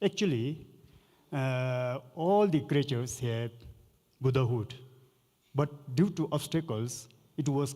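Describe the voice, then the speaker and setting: At a medium pitch with ordinary pitch variation, a man talks fairly slowly, leaving long, frequent pauses. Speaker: Buddhist lama, panelist. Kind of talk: panel discussion.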